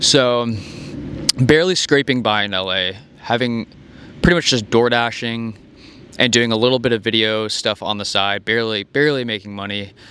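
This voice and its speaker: A man's medium-pitched voice at a moderate pace, with ordinary pitch variation, long, frequent pauses and noticeable background noise. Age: 20s. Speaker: vlogger. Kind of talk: casual monologue.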